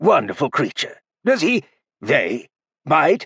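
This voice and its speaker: A raspy, put-on character voice goes at a fairly slow pace. The sound is dry and close with no echo. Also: man, high pitch for a man. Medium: read story.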